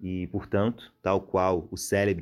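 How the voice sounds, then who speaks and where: The man's voice sits fairly low in pitch. The recording is very clean, with a silent background. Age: 20s. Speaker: researcher and lecturer in literature. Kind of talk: podcast lecture-style explanation. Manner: hesitant, with fillers.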